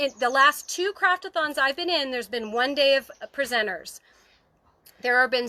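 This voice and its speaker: Her high-pitched voice has a bright, sharp tone, lively intonation and an animated delivery. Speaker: crafting channel host. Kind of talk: livestream craft tutorial. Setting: outdoors on her deck, livestream.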